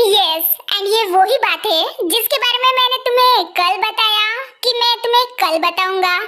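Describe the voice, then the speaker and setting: This is a put-on character voice with ordinary pitch variation. The loudness stays very even at a moderate pace. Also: woman, extremely high pitch for a woman. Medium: voice reel. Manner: earnest, a little awkward.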